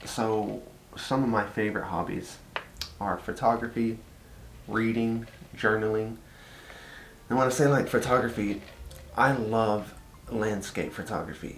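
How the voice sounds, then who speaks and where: A man with a Texan accent speaks at a medium pitch, fairly slowly, with long, frequent pauses. His intonation is flat and monotone, and there is audible room echo. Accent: Texas Southern. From Texas. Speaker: vlogger. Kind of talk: casual chat. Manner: casual, lots of fillers.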